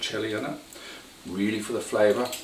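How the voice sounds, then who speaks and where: A man with a New Zealand accent speaks at a fairly quick pace, with noticeable background noise and audible room echo. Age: 60s. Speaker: cooking video host. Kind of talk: cooking tutorial. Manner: casual, with hesitations.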